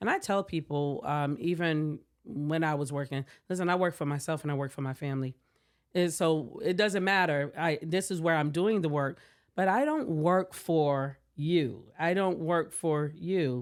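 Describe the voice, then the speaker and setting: Using an American accent, a woman with a very deep, low pitch and ordinary pitch variation speaks at a moderate pace on a very clean recording with a silent background. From US South, Savannah, Georgia. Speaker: tech company founder and CEO. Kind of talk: podcast interview.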